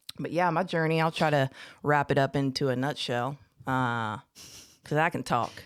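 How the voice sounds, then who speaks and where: With an American accent, a woman speaks at a very deep, low pitch with ordinary pitch variation. Long, frequent pauses mark her speech on a very clean recording with a silent background. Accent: Southern twang, slight drawl that comes out. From Houston, Texas. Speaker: recovering addict. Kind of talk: personal testimony. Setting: podcast studio.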